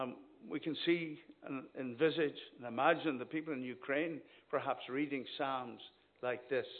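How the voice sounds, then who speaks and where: A man talks with a Northern Irish accent. His pace is fairly slow. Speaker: visiting minister preaching. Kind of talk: sermon. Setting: church. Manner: animated.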